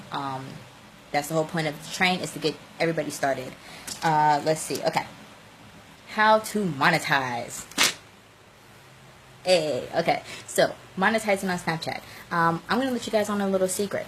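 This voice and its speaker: Her pitch fairly low, a woman talks in an animated tone with lively intonation, leaving long, frequent pauses. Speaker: social media coach. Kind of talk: live stream tutorial. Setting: live video stream. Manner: fast.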